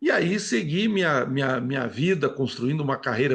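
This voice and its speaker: A somewhat breathy man talks at a moderate pace against a quiet background. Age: 70s. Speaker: politician. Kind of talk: TV interview.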